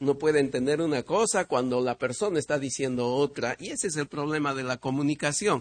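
A man with a plain, everyday voice speaks at a moderate pace and a fairly high pitch, with ordinary pitch variation. The sound is dry and close with no echo, over a quiet background. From Peru. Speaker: visiting preacher. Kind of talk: sermon.

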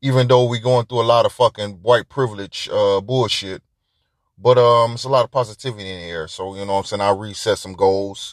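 The speech runs at a fairly quick pace, with a dry, close sound that has no echo and a quiet background. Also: man, medium pitch for a man, big swings in loudness. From Detroit, US Midwest. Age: 40s. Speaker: podcast host. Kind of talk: casual monologue. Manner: animated.

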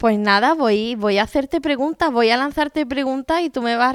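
A woman's high-pitched voice at a moderate pace, with ordinary pitch variation and a dry, close sound with no echo. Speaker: interviewer. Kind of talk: interview. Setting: at guest's home.

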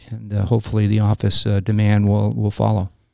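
Dark, mellow tones from a man with a Californian accent and fairly low pitch. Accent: Californian American. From Los Angeles. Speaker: real estate developer and Marine veteran. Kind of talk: interview.

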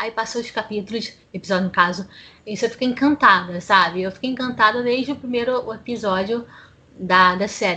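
With a fairly high pitch, ordinary pitch variation and a fairly quick pace, a woman talks in an unremarkable speaking voice. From Brazil, Rio de Janeiro city. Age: 30s. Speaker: podcast panelist. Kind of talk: casual chat.

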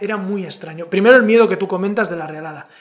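Noticeable background noise sits under a man speaking at a high pitch. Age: 40s. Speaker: podcast host. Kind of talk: casual chat.

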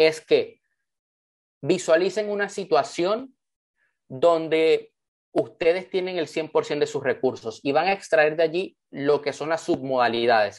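At a moderate pace, the speaker uses an animated tone and lively intonation against a quiet background. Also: man. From Panama (born in Venezuela). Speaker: motivational speaker and author. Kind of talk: online training talk.

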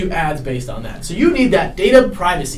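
Talking fairly quickly with lively intonation, a man is heard against noticeable background noise. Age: young. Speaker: college student podcaster. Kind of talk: casual chat. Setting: dorm floor at night.

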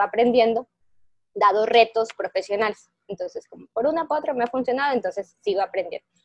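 Here is a woman with a normal speaking voice at a fairly high pitch. She moves at a fairly quick pace with ordinary pitch variation. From Ecuador. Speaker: software engineer and tech lead. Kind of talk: interview.

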